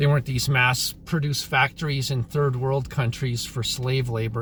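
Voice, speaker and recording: With a Canadian accent, the speaker keeps a fairly even intonation and a fairly slow pace amid noticeable background noise. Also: man. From Canada. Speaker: YouTuber, commentator. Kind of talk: casual monologue, opinion vlog. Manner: casual, filler-heavy.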